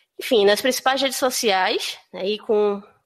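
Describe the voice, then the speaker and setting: A woman with a northeastern Brazilian accent, medium in pitch with ordinary variation, at a moderate pace, in a dry, close sound with no echo. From Brazil, Northeast, Recife (Pernambuco). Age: 30s. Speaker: career and HR consultant. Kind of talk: podcast interview. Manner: hesitant, many fillers.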